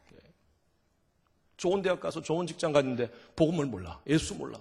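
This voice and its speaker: A man's fairly high, animated voice with vocal fry, ordinary pitch variation and a fairly quick pace. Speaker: revival guest preacher. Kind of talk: sermon. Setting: church.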